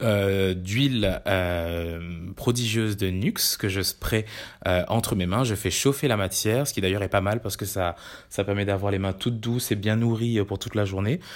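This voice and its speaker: Fairly slow, fairly even speech from a man with a fairly low voice. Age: 30s. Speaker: digital campaign staff. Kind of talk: product review monologue. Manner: hesitant, many fillers.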